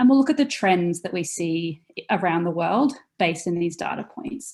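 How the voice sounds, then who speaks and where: A woman speaks at a medium pitch for her sex. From Australia. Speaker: software company customer experience director. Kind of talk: webinar product presentation. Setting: video call webinar with screen share.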